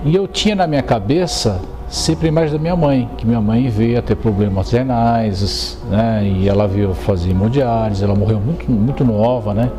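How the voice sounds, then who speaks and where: A man's fairly low voice with lively intonation and very even loudness, hardly any pauses, audible room echo and music in the background. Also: moderate pace. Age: 50s. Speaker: dialysis patient. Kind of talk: testimony. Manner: halting, many fillers.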